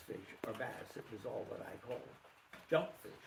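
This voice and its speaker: A man with an American accent talks at a fairly slow pace. Audible room echo surrounds his voice. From Pennsylvania, Schuylkill County. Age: 80s+. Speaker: local elder recounting childhood memories. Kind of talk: reminiscing talk with Q&A. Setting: presentation to small audience. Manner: halting with many fillers.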